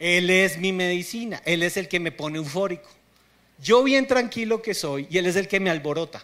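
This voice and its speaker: Lively, high-pitched male speech at a moderate pace. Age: 30s. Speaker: pastor. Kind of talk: sermon. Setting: theater stage with congregation.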